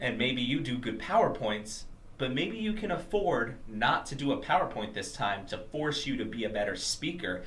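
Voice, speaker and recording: A man at a medium pitch with very wide pitch swings and a moderate pace, amid noticeable background noise and audible room echo. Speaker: motivational speaker / vlogger. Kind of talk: motivational talk to camera.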